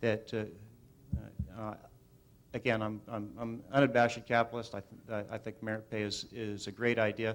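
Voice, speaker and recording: At a moderate pace, a man speaks in a flat monotone. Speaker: school board candidate. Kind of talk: candidate forum answer. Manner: halting, many fillers.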